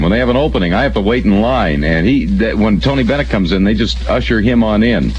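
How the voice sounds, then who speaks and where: A man races along at a very fast pace with hardly any pauses, at a fairly low pitch with very wide pitch swings. His loudness stays very even, and there is noticeable background noise. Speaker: radio morning show host. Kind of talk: radio DJ banter, aircheck. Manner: casual, quick, joking.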